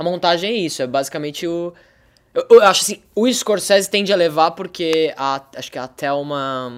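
A man with a high-pitched voice and big swings in loudness. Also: ordinary pitch variation, moderate pace. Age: 20s. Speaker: actor and director. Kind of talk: casual chat.

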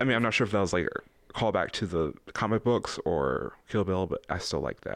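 A man's ordinary speaking voice, fairly low in pitch, with ordinary pitch variation, a fairly quick pace and hardly any pauses, on a very clean recording with a silent background. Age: 20s. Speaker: podcast co-host. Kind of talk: casual chat.

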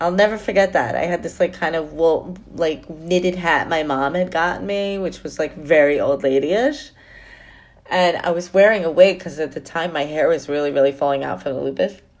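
A woman with a New York accent speaks at a moderate pace in a fairly low voice. Her tone is animated, with ordinary pitch variation. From New York City. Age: 50s. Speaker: podcaster. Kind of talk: casual monologue.

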